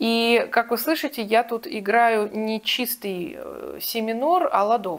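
The woman's pitch is fairly high, and her pace is very slow with hardly any pauses. The background is quiet. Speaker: vocal teacher. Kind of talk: tutorial. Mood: calm, explanatory. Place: home room. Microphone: lapel.

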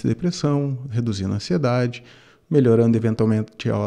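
Against a quiet background, a man with a dark, mellow tone speaks at a fairly quick pace with ordinary pitch variation. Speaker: university lecturer guest. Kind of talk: interview answer. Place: studio. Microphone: studio mic.

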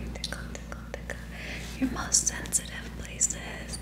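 Loud background noise runs throughout. Through it, a woman talks. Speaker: ASMR creator. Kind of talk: ASMR tickling role play. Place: home room. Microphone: studio mic.

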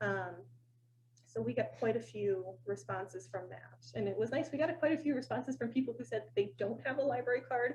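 With vocal fry and a medium pitch, a woman talks at a fairly quick pace, her pitch swinging very widely. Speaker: library director. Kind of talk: public board meeting report. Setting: town board meeting. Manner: fast; hesitant fillers.

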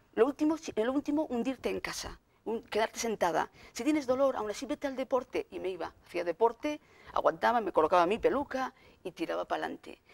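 A woman talks at a very fast pace with vocal fry and very wide pitch swings. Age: 40s. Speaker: consumer association deputy director. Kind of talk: TV interview. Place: studio. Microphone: lapel.

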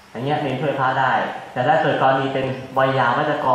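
A man's voice, with strong room echo and light background noise. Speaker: monk teacher. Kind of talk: sermon. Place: hall.

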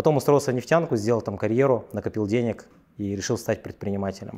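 A man talks at a medium pitch in a dark, mellow tone. The background is quiet. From Russia, Yakutia; Russia. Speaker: entrepreneur; interview guest. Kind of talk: interview. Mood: relaxed, confident storytelling. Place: office. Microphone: lapel.

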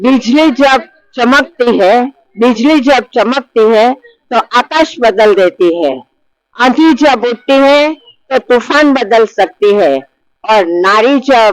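A woman's high-pitched voice with ordinary pitch variation and very even loudness, in a dry, close recording with no echo. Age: 70s. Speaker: women's self-help group leader. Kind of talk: interview testimony.

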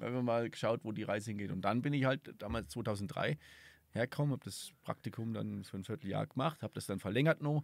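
With a slight Franconian accent, a man speaks at a fairly quick pace with ordinary pitch variation, and the sound is dry with no echo. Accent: slight Franconian tinge. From southern Thuringia, Germany. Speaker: podcast host, tourism events organizer; podcast host. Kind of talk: casual interview. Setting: outdoors at a mountain hut. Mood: relaxed, reflective. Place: open country. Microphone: studio mic.

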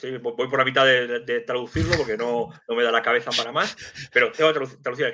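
Against a quiet background, a man talks very fast in a bright, sharp tone. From Madrid, Spain; Spain. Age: 50s. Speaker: geopolitics and intelligence analyst, civil servant; guest. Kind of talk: live stream interview. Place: home room. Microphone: video call.

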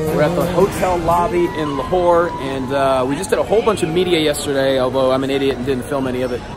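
A man at a very fast pace with hardly any pauses, clear music in the background. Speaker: ring announcer. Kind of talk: casual vlog talk to camera. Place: hall. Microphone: phone near.

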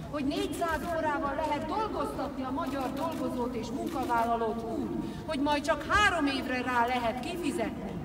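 A woman at a moderate pace with ordinary pitch variation, crowd noise in the background. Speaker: speaker. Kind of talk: political rally speech. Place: street.

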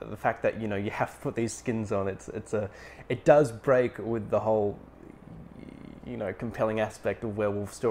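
The voice reads in an unforced way, its intonation fairly level.

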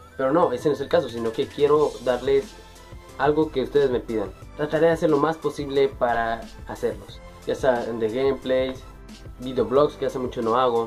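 Faint music plays in the background. A man talks with ordinary pitch variation. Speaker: youtuber. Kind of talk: casual talk to camera. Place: home room. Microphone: webcam.

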